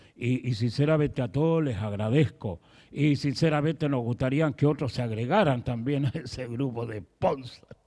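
A man speaks at a moderate pace in a dark, mellow tone with ordinary pitch variation. The background is quiet. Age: 70s. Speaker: pastor. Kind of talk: sermon. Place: church. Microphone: handheld.

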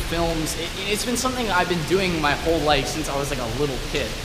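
Music plays underneath as a man talks. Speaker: vlogger. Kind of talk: casual vlog chat. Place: garage. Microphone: phone near.

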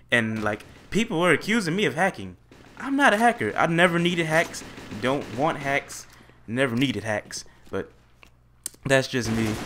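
A man with an animated tone and a fairly high pitch, very wide pitch swings, a moderate pace and long, frequent pauses, over noticeable background noise. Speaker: gaming YouTuber. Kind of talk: gameplay commentary. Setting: home recording with USB microphone.

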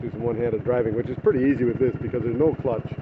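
A man speaks with noticeable background noise. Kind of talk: casual vlog chat. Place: street. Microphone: phone near.

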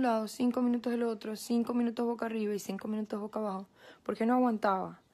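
The woman's voice is fairly high in pitch. She speaks at a very fast pace. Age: 20s. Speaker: COVID-19 patient sharing her experience. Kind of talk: personal testimony. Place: home room. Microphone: phone near.

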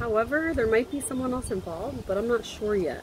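Noticeable background noise accompanies speech at a moderate pace with lively intonation. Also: woman. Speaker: tarot reader. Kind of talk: tarot reading monologue. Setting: outdoors. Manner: halting, stumbling over words.

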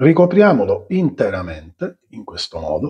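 Very slow speech unfolds over a quiet background. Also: man. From Sicily. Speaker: cooking channel host. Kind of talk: cooking tutorial. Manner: animated. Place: kitchen.

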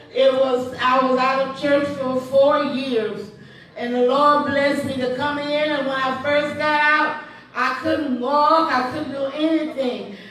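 A woman speaks at a fairly slow pace in a high, flat, monotone voice, with strong room echo and light background noise. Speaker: church member. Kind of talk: testimony. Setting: church. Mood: grateful, emotional. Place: church.

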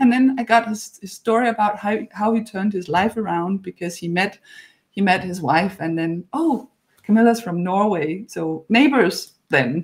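In a Danish accent, a woman speaks at a moderate pace with a medium pitch, a somewhat breathy voice, and lively intonation. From Denmark, Horsens. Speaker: author and podcast host. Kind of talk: interview conversation. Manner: hesitant, repeats words.

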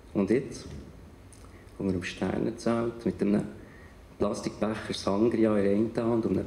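A man with a fairly low voice speaks over light background noise, with audible room echo. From Bern, Switzerland. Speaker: writer and spoken-word artist. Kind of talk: poetry slam performance. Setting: live stage in front of an audience. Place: stage. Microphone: handheld.

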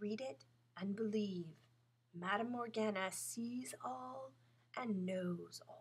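A put-on character voice from a female-sounding speaker, creaky and medium in pitch for a woman, at a very slow pace with long, frequent pauses.

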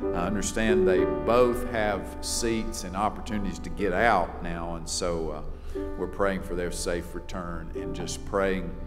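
Clear music plays in the background as a man speaks at a fairly slow pace with ordinary pitch variation. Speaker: chapel host introducing the preacher. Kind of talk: announcements and introduction. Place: church. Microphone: podium.

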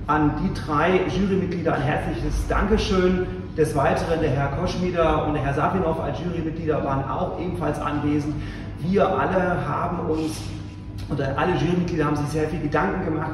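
A man speaks at a fairly quick pace with fairly even intonation. Audible room echo and noticeable background noise surround his voice. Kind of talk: formal speech. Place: hall. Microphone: camera far.

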